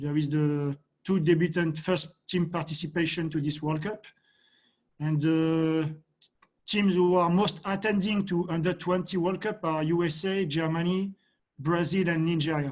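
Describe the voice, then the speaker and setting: Speaking at a high pitch and a fairly slow pace, a man keeps his intonation fairly even. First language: not English. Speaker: football coach. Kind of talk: presentation. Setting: video call. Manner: halting.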